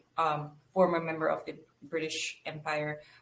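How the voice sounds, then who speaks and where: A woman speaks in a very deep, low pitch. Her pace is fairly slow. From Belize. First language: Spanish. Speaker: archaeologist. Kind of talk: interview.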